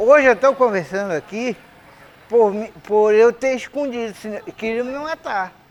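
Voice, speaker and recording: Noticeable background noise runs under speech delivered at a fairly slow tempo. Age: 70s. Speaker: quilombo elder. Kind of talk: testimony.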